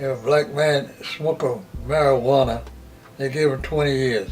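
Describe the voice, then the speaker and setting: Over music in the background, a man with a medium pitch speaks at a moderate pace with fairly even intonation. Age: 80s+. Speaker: interviewee. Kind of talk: interview answer.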